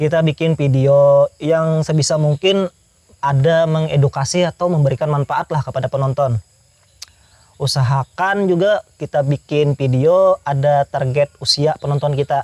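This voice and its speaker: The man's voice is somewhat breathy. His pitch runs fairly high. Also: fairly even intonation, moderate pace, very even loudness, dry, close sound with no echo. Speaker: youtuber. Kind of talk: interview.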